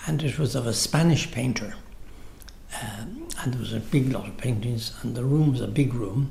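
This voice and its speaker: Through noticeable background noise and audible room echo, a man speaks at a moderate pace and medium pitch with ordinary pitch variation. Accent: Dublin. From Ireland, Dublin. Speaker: retired architect. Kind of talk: oral history interview. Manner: halting.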